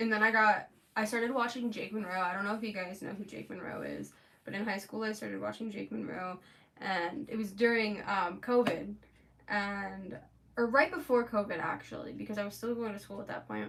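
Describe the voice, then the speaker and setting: A woman with an American accent talks at a fairly quick pace in a plain, everyday voice. Her medium pitch has ordinary variation, and her loudness swings widely. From Florida. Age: 20s. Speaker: makeup artist streamer. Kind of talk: casual chat. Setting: livestream. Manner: chatty, filler-heavy.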